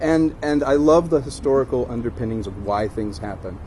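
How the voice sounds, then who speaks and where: Medium-pitched speech from a man with an American accent, lively intonation and a fairly quick pace, over noticeable background noise. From Virginia. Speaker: actor. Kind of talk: travel host demo. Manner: upbeat, playful.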